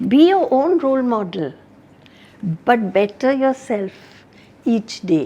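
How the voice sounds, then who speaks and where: A woman speaks very slowly, with long, frequent pauses. Her high pitch makes very wide swings. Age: 70s. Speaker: retired sales and customer service executive. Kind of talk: interview.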